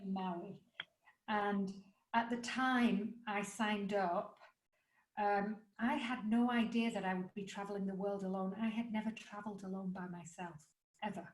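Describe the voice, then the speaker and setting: A woman with an English accent, medium pitch and a somewhat breathy voice, at a moderate pace with long, frequent pauses. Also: fairly even intonation. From England. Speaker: life coach and author. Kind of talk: podcast interview.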